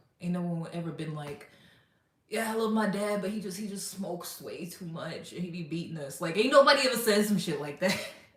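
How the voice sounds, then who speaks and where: A woman speaks at a medium pitch with an animated tone and a fairly quick pace, her loudness swinging widely. Her pitch varies in an ordinary way, and room echo is audible. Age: 30s. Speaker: livestreamer. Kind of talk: casual livestream chat.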